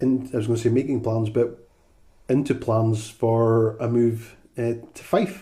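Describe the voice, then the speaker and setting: With a Highland Scottish accent, a man speaks at medium pitch and a fairly slow pace in a dark, mellow, somewhat breathy tone. His intonation is fairly even, but his loudness swings a lot. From Scottish Highlands, Inverness. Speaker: podcast co-host. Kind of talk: casual chat. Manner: halting, many fillers.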